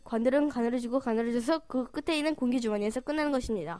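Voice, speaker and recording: A woman talks with high pitch and ordinary pitch variation. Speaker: amateur translator dubbing educational lectures. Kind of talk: educational lecture dub. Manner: stammering at times.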